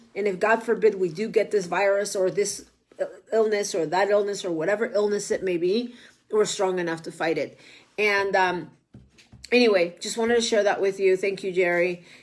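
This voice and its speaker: A woman's medium-pitched voice with a Spanish accent, fairly even intonation and a moderate pace. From Mexico. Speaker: political candidate and online show host. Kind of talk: casual livestream monologue. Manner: halting, many fillers.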